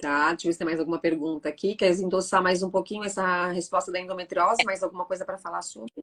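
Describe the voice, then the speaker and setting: At a very fast pace and with hardly any pauses, a woman talks in a medium pitch with fairly even intonation. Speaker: live stream host. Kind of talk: live stream Q&A. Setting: online live stream.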